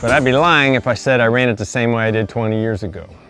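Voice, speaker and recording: Music plays in the background. A man talks at a moderate pace with a medium pitch. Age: 60s. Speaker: farmer. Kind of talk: casual talk to camera.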